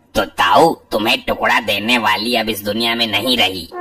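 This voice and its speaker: With faint music in the background, a man at medium pitch performs a cartoonish character voice. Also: moderate pace. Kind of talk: comic overacting.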